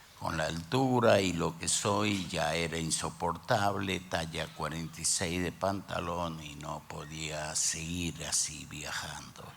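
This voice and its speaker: A man speaks at a very slow pace with hardly any pauses. His very deep, low voice keeps a fairly even intonation. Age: 60s. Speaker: pastor. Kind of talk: sermon.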